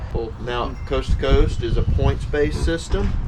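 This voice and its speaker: A man with an American accent at a moderate pace, with noticeable background noise and audible room echo. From US South, Mississippi (Vicksburg). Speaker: RV park owner. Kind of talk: casual interview.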